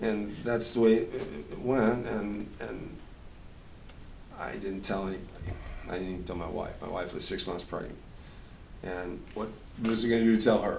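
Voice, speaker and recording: A man talks at a moderate pace with fairly even intonation and a fairly low pitch. Long, frequent pauses break up his speech, and audible room echo surrounds it. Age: 60s. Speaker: musician. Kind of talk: interview. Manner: halting, with repeated words.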